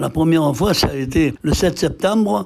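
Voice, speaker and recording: A man talks at a high pitch while noticeable background noise carries on. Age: 80s+. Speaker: war veteran, former deportee. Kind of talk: interview answer. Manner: hesitant.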